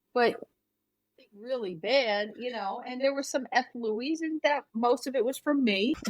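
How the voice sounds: A woman talks at a fairly slow pace, her fairly high pitch moving with ordinary variation.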